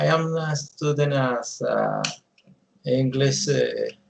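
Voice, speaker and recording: A man with a Colombian accent speaks at a very slow pace. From Colombia, Bogota. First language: Spanish. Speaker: English language student. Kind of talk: mock speaking exam. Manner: halting, many fillers.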